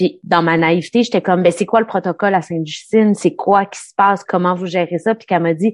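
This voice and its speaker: A woman speaks with a Quebec accent at a medium pitch. Her pitch rises and falls in an ordinary way. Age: 40s. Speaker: documentary host. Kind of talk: interview. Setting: video call.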